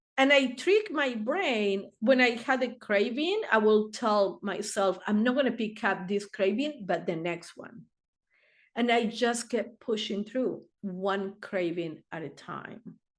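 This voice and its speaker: A woman speaks very slowly with a non-native accent, her fairly high pitch moving with ordinary variation against a quiet background. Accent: foreign. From Argentina. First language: Spanish. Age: 60s. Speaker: therapist. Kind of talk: interview answer.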